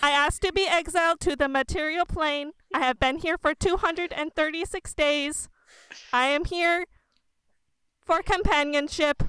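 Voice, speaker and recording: A woman puts on a character voice at an extremely high pitch, speaking at a fairly slow pace with long, frequent pauses. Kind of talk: robotic monotone. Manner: flat, literal, short sentences.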